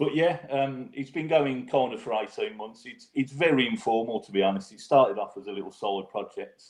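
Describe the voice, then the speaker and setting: This man speaks with a strong Brummie accent and lively intonation. His pitch is medium and his pace fairly quick. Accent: strong Birmingham (Brummy). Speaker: football fan podcaster. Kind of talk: casual podcast chat.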